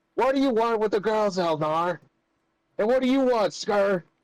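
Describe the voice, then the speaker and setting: A man uses a put-on character voice with a high pitch. He speaks at a moderate pace in a very clean recording with a silent background. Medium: actual play. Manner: loud, confrontational.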